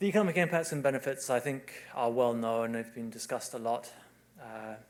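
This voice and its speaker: With a British accent, a man of medium pitch speaks at a fairly quick pace with ordinary pitch variation. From UK. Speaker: civil engineer. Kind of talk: conference presentation.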